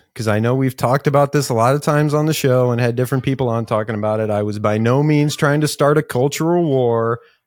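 Over a silent background in a very clean recording, a man speaks in an unremarkable speaking voice with a medium pitch and ordinary pitch variation. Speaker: podcast co-host. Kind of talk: casual chat, interview.

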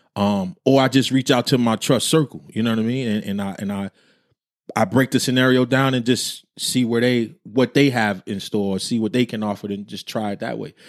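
Recorded very cleanly against a silent background, a man with a normal speaking voice and medium pitch speaks in an American accent at a moderate pace with fairly even intonation, the sound dry and close with no echo. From New Jersey. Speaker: podcast co-host. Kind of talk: casual chat. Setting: livestream with chat comments.

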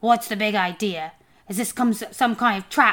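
A woman's put-on character voice, fairly high in pitch, at a moderate pace. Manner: suspicious.

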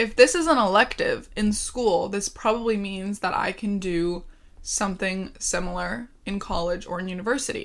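Here is a woman with an ordinary speaking voice, fairly high in pitch. The recording is very clean, with a silent background. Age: 20s. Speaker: podcast host. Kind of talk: casual monologue.

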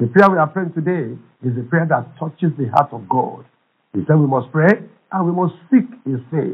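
This man speaks with a Nigerian accent. His pitch variation is ordinary. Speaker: pastor. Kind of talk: fervent prayer, charged preaching-style exhortation. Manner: impassioned, urgent, emphatic; repetitive, rhythmic, declaratory.

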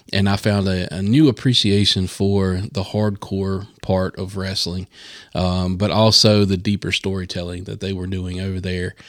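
Very deep and low, this man's voice carries a Southern US accent. His intonation is monotone and flat, on a very clean recording with a silent background. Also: moderate pace. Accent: Southern American. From US South, North Carolina. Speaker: podcast host. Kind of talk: casual chat.

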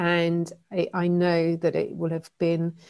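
Heard on a very clean recording with a silent background, a woman speaks with an English accent at a fairly low pitch. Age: 40s. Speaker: author and keynote speaker. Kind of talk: interview.

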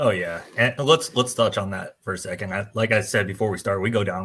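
A man speaks in an unremarkable speaking voice with an American accent. His pitch is fairly low and his pace moderate. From New Jersey, US. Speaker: podcast co-host and fire instructor. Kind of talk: casual chat.

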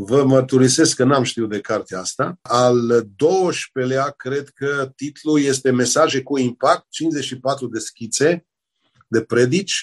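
At a very slow pace, a man with medium pitch and ordinary pitch variation speaks in a dry, close sound with no echo. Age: 60s. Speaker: pastor and author. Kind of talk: religious interview.

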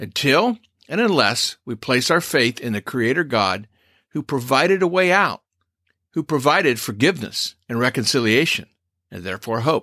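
On a very clean recording with a silent background and a dry, close sound without echo, a man at medium pitch uses a bright, sharp tone, very wide pitch swings and a moderate pace. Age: old. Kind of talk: scripted commentary monologue.

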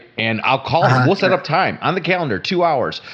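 With a normal speaking voice, a man talks at a moderate pace with lively intonation. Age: middle-aged. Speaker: podcast co-host, entrepreneur. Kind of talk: casual chat.

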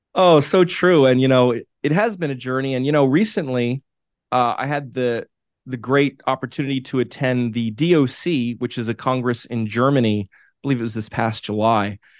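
In a normal speaking voice, a man talks at a moderate pace and medium pitch, with a dry, close sound with no echo. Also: ordinary pitch variation, quiet background. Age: 40s. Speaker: media company founder. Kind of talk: interview.

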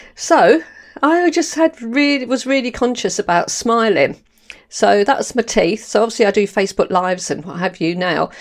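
An animated, warm, fairly high-pitched woman's voice with very wide pitch swings at a moderate pace, on a very clean recording with a silent background. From London, England. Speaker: podcast host. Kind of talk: solo monologue podcast, personal talk. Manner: animated, warm, chatty.

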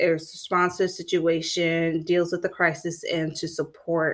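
A woman speaks with an American accent in a fairly low pitch. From Florida. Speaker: mental health counselor and podcast host. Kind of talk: solo podcast monologue, educational. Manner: conversational, with fillers.

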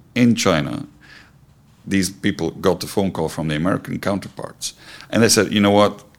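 This man has a very deep, low pitch and ordinary pitch variation. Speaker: company CEO. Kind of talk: interview.

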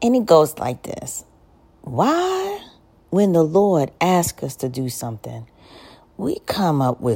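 Her tone animated, a woman speaks at a fairly slow pace in a very deep, low voice. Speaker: spoken word poet. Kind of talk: spoken word monologue, testimony-style, reflective and confessional. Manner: animated, conversational, rhetorical questions, humorous and colloquial; earnest, preacher-like.

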